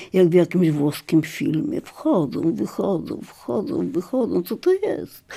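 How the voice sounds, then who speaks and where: Very slowly, a woman speaks in a dark, mellow tone with a fairly low pitch. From Lviv, formerly eastern Poland (now Ukraine). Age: old. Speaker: memoirist. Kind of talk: scripted narration.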